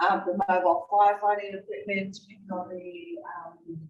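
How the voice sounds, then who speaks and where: A woman with an Australian accent, medium in pitch, at a fairly slow pace. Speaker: fire safety presenter. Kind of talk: presentation to an audience.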